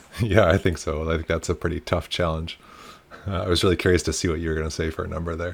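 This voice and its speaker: A man with a resonant, very deep, low voice talks at a very fast pace in a flat monotone. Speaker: podcast co-host, early-stage founder.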